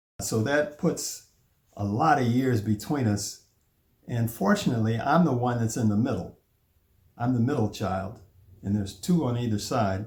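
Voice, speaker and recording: A man with an American accent talks at a moderate pace, with long, frequent pauses. His medium-pitched voice is somewhat breathy and shows ordinary pitch variation. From US Midwest, Chicago. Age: 70s. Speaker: family elder telling his life story. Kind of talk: oral history narration.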